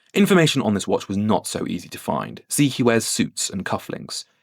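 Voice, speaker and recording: In a British accent, a man with a medium pitch speaks on a very clean recording with a silent background and a dry, close sound with no echo. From UK. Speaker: watch YouTuber. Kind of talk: scripted video commentary.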